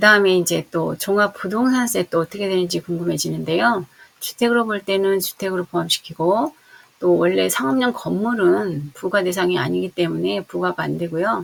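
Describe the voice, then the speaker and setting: A woman's moderately paced speech, with noticeable noise in the background. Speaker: real estate agent. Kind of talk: tutorial.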